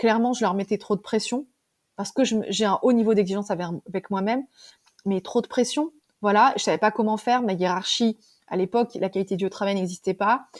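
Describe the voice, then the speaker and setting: Long, frequent pauses mark a woman's fairly high voice with ordinary pitch variation, recorded very cleanly against a silent background. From France, Ardèche countryside. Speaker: wellbeing coach, former manager. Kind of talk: interview testimony. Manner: fast; halting, many fillers.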